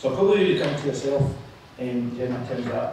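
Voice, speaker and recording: Strong room echo and light background noise fill the clip. A man talks at a very fast pace, fairly high in pitch, with ordinary pitch variation. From Scotland. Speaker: politician chairing a panel. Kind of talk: panel moderation. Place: hall.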